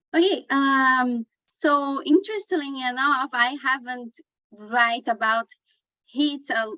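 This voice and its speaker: The speaker has a Portuguese accent and talks very slowly. Pitch variation is ordinary. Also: woman, high pitch for a woman. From Brazil. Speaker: journalist. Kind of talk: panel discussion.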